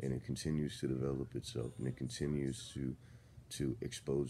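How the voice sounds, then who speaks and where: There is light background noise as a man speaks at a very deep, low pitch with a dark, mellow tone, vocal fry and lively intonation. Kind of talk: casual vlog rant. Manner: just-woke, drowsy, low-energy voice. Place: home room. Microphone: phone near.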